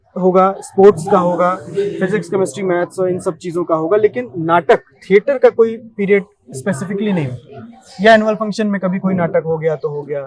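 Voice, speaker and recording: With ordinary pitch variation, a man speaks at a moderate pace in a high voice. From India, Rewa, Madhya Pradesh. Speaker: actor. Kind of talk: interview.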